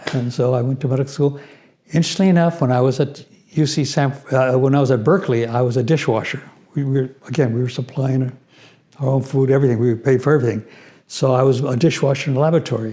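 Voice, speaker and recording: Speaking very fast with an American accent, a man has a dark, mellow, somewhat breathy voice of medium pitch and fairly even intonation. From US Southwest, New Mexico and Los Angeles. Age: 80s+. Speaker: retired physician. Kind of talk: interview storytelling.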